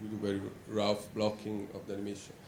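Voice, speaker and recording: Over noticeable background noise and audible room echo, a man speaks with an Italian accent at a fairly quick pace. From Italy, Rome. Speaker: animator. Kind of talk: conference talk. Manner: hesitant, many fillers.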